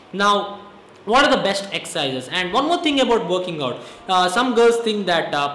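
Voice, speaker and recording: A man talks over light background noise, with audible echo in the room. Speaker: fitness vlogger. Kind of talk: casual fitness advice talk to camera. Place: home room. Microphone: phone near.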